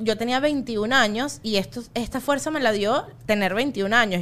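Here a woman speaks with a Venezuelan accent and lively intonation at a fairly high pitch. The recording is very clean, with a silent background. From Venezuela, Los Teques. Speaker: comedian. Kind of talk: casual chat.

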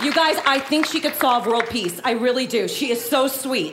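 A woman with an American accent speaks in a high voice. Her pace is moderate, and background noise is noticeable. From Miami, Florida. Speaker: comedic performer. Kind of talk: casual comedic chat. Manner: animated.

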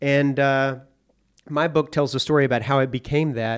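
On a very clean recording with a silent background, a man with an American accent speaks fairly quickly at medium pitch in a monotone, flat intonation. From US South, Arkansas (Hot Springs). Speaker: podcast narrator and author on gambling. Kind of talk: casual interview chat. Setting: studio.

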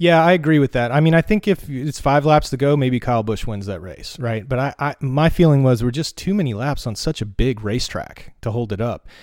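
With an American accent and an ordinary speaking voice, the speaker moves at a fairly quick pace with lively intonation and hardly any pauses. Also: man, medium pitch for a man, very clean recording, silent background. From North Carolina mountains. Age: 40s. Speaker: race fan. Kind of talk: casual chat. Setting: at home.

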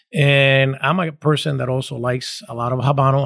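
With a normal speaking voice at medium pitch, a man talks at a fairly quick pace and fairly even intonation in a very clean recording with a silent background and a dry, close sound with no echo. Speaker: cigar company executive. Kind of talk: interview.

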